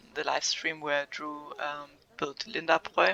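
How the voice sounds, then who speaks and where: Noticeable background noise sits behind a woman speaking. She talks fairly slowly with a German accent. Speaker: gaming video creator. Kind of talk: casual unscripted vlog. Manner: hesitant, many fillers.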